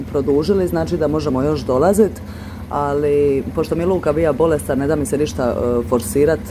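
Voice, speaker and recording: Spoken at a moderate pace, the voice comes through noticeable background noise. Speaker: vlogger. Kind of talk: casual vlog chat. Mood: relaxed, slightly wistful. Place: waterside. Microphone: phone near.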